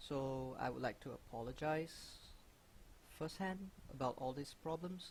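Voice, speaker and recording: The delivery comes at a fairly slow pace. A somewhat breathy quality runs through it. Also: man. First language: not English. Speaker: gaming youtuber. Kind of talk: Q&A video monologue. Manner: mumbling; halting, frequent fillers.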